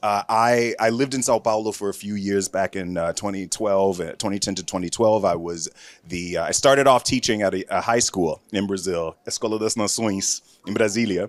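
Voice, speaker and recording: In an American accent, the speaker goes at a fairly quick pace with fairly even intonation, the sound dry and close with no echo on a very clean recording with a silent background. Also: man, fairly low pitch for a man. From US South, Florida. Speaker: panel moderator and film producer. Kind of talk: panel discussion. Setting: stage with audience. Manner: loud.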